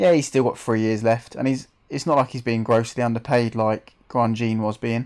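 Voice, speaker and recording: With a London accent, a man speaks at a moderate pace and medium pitch. His intonation stays fairly even. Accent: Mockney. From England, Bedfordshire. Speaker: gaming live streamer. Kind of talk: live stream commentary. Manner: casual, chatty.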